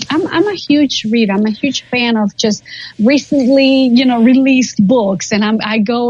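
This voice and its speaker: Noticeable background noise sits behind a woman whose pitch varies in an ordinary way. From Guatemala. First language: Spanish. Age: 40s. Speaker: ESL teacher. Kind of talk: interview.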